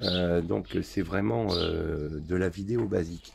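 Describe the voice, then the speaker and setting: The voice has a dark, mellow tone with vocal fry. It moves at a very slow pace. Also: man. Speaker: motorcycle restorer. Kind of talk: tutorial.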